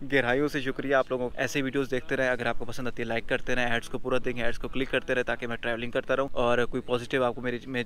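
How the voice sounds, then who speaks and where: Monotone and flat, a man's medium-pitched voice moves at a fairly quick pace. The sound is dry with no echo, over light background noise. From Pakistan, South Punjab (Dera Ghazi Khan); South Punjab, Pakistan. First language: Saraiki (speaking Hindi). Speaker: travel vlogger. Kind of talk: casual vlog introduction. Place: garden. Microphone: phone near.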